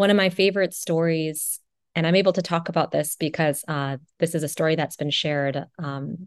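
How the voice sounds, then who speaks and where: A woman speaks at a moderate pace with fairly even intonation and a fairly low pitch. The background is quiet. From Wisconsin, US Midwest. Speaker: radiation oncologist. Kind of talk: podcast interview. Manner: frequent fillers (uh, you know).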